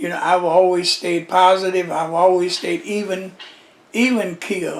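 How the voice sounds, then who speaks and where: A man with a high pitch talks at a moderate pace. Noticeable background noise is present. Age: 80s+. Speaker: Nation of Islam pioneer, former minister. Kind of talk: interview, oral history. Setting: at his daughter's house.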